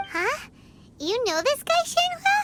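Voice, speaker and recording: This is a put-on character voice, squeaky and pitched extremely high. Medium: video game. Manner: casual, reactive.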